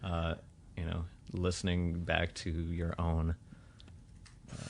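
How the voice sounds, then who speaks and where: A man with a very deep, low pitch speaks very slowly in a monotone, flat intonation. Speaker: podcast host. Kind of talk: casual chat. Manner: halting, with delays mid-speech; frequent pauses and fillers.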